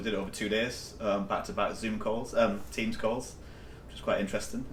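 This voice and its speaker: A man with a northeast English accent talks at a fairly quick pace, his intonation monotone and flat. Audible room echo is present. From northeast England, County Durham. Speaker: company CEO. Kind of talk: interview.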